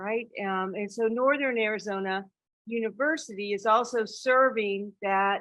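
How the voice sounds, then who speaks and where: A woman with an American accent speaks in an ordinary speaking voice, at a fairly high pitch and a fairly slow pace, with ordinary pitch variation. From South Carolina. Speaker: university dean. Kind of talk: conference talk.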